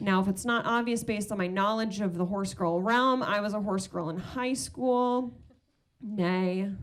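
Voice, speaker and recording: A woman with an American accent speaks at medium pitch, with audible room echo around her voice. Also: ordinary pitch variation, moderate pace. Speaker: stand-up comedian. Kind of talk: stand-up. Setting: stage with audience.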